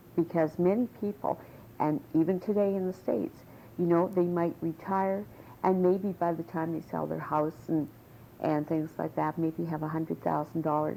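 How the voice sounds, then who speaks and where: Fairly low in pitch, a woman speaks with a dark, mellow tone. Her intonation is fairly even and her pace moderate. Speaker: political activist. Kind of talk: oral history interview answer.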